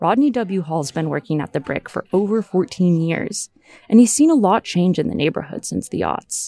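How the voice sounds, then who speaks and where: Music plays in the background as a woman talks with lively intonation, recorded dry and close with no echo. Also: medium pitch for a woman, moderate pace. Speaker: reporter. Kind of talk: scripted narration.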